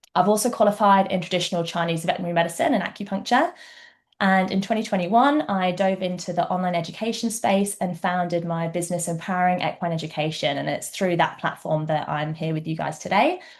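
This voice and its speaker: A woman with a slight English accent talks very fast at a medium pitch, with ordinary pitch variation and a quiet background. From England. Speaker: equine vet. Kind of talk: webinar presentation. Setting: online webinar.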